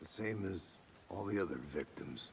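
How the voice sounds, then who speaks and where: In a put-on character voice, a man speaks at a moderate pace, raspy and very deep in pitch, over clear background noise. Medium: video game. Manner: dry, laconic.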